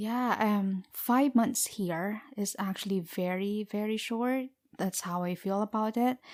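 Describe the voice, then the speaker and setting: A woman speaks with a Filipino accent at a medium pitch and fairly even intonation. The sound is dry and close with no echo, and the recording is very clean over a silent background. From Philippines. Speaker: podcast co-host. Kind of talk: casual interview. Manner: hesitant, many fillers.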